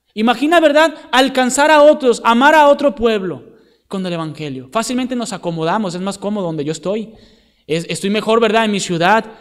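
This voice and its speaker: A man talks at a fairly quick pace and a high pitch, his pitch swinging very widely. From Venezuela. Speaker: missionary preacher. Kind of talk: sermon.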